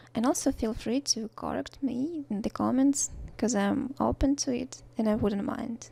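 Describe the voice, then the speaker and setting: A woman speaks in a high voice with a Russian accent. Her moderate pace comes through on a very clean recording with a silent background. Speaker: watercolor art teacher. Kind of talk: tutorial. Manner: hesitant, many fillers; unscripted voice-over.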